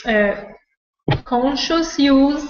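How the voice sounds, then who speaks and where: A woman with a non-native accent and lively intonation at a very slow pace, with audible room echo. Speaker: voice coach. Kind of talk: webinar presentation. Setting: online video webinar. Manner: halting, searching for words.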